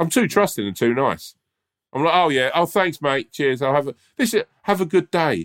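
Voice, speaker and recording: With vocal fry and lively intonation, the speaker moves at a moderate pace on a very clean, silent recording with a dry, close sound and no echo. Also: man, fairly high pitch for a man. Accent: British. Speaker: podcast co-host. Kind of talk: casual chat.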